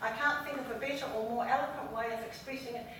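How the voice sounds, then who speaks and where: A woman with a New Zealand accent, in audible room echo. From New Zealand, Maori. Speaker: local election candidate. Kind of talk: campaign speech. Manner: fast.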